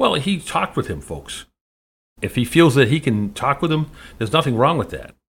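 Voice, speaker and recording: Vocal fry runs through this man's voice as he talks at a fairly quick pace. His intonation is lively, and the recording is very clean with a silent background. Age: 60s. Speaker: talk radio host. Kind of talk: political commentary monologue. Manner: halting, many fillers.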